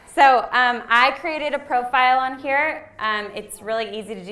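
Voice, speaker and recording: The tone is bright and sharp, with big swings in loudness. There are hardly any pauses, and room echo is audible. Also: woman. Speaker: nonprofit marketing trainer. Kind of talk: workshop tutorial.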